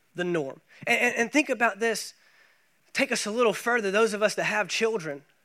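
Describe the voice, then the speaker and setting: In an American accent, a man with a high pitch and a bright, sharp tone speaks in a raised, projected voice at a fairly quick pace. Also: ordinary pitch variation. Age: 30s. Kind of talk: sermon. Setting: church.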